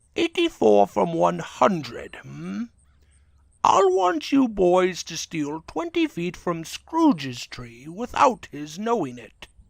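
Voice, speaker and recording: At a fairly slow pace, a man puts on a character voice with a high pitch. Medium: dub.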